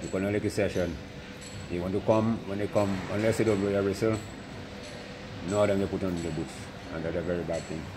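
A man's very deep, low voice at a fairly quick pace, monotone and flat, with noticeable background noise. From Dominica. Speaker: former national football goalkeeper. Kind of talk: interview. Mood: reminiscing, somewhat aggrieved. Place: stadium.

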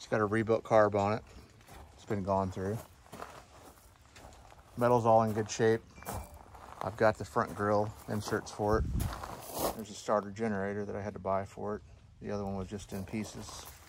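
A man's fairly low voice moves at a fairly quick pace in monotone, flat intonation, with a dry sound that has no echo and noticeable background noise. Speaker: tractor owner. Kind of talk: casual walkaround commentary. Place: open country. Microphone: phone near.

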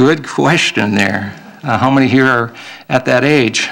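A man with an American accent talks at a moderate pace against a quiet background. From Minnesota. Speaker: state legislator. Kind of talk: candidate debate. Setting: public event with audience. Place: hall.

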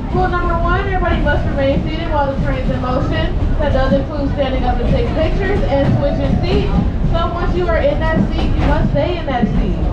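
A woman talking at a very fast pace over crowd noise in the background. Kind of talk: announcement to passengers. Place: train.

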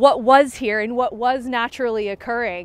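A woman at a moderate pace, dry sound with no echo. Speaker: tour guide. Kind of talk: guided tour commentary. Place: open country. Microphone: phone near.

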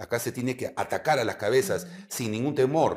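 A man speaks at a medium pitch with lively intonation. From Peru. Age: 50s. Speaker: retired air force general; guest. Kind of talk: interview. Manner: halting. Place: studio.

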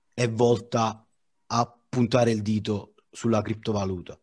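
Quiet background behind a man speaking. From Naples, Italy; Italy. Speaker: digital artist. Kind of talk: informal panel discussion. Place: home room. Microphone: headset.

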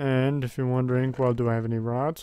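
Over a silent background in a very clean recording, a man talks quietly at medium pitch. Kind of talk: casual gameplay commentary. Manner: quiet, subdued.

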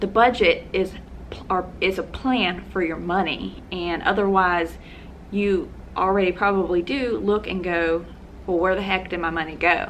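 Medium pitch from a woman at a moderate pace, ordinary pitch variation, and light background noise. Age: 30s. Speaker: personal finance vlogger. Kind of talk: casual vlog monologue. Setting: home video recording. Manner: hesitant, many fillers. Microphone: phone near.

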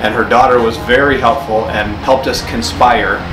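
Fairly quick speech from a man with ordinary pitch variation, clear music in the background. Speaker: channel host. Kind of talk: casual vlog chat. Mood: warm, earnest. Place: garage.

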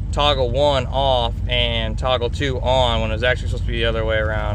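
Fairly quick speech, dry with no echo, over noticeable background noise. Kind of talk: casual vlog chat. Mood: relaxed, self-deprecating. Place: car. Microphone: phone near.

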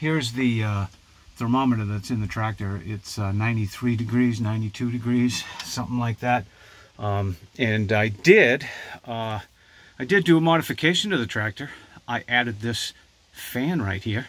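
With ordinary pitch variation, this man keeps to a moderate speed. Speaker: hobby tractor owner. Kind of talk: casual vlog chat. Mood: relaxed, a bit hot. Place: farm machine. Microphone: phone near.

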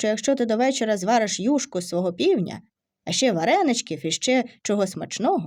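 The delivery is an unforced reading voice. The background is quiet.

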